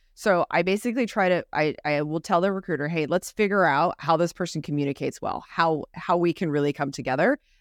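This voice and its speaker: A woman's animated, fairly low-pitched voice at a very fast pace with hardly any pauses and ordinary pitch variation, in a very clean recording with a silent background and a dry, close sound with no echo. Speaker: recruiting podcast co-host. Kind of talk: casual chat. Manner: fast talker.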